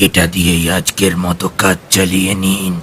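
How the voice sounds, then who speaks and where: A man's put-on character voice, very deep and raspy, monotone and flat, at a moderate pace over clear background noise. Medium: audio drama. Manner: flat, expressionless, terse.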